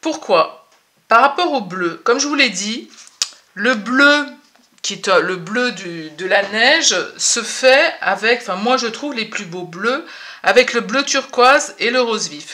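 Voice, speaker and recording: Here a woman speaks at a very slow pace. Her pitch swings very widely. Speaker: watercolour painting teacher. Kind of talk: tutorial. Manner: hesitant, many fillers.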